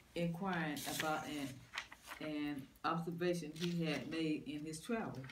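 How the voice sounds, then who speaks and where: The speaker talks at a fairly slow pace with hardly any pauses. Noticeable background noise runs underneath. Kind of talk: reading aloud from a book in a group study.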